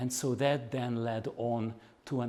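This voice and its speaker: A man with a Hungarian accent speaks at a medium pitch in a dark, mellow tone. Audible room echo surrounds his voice. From Hungary, Budapest. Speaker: activist and researcher. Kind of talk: lecture. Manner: halting, with fillers.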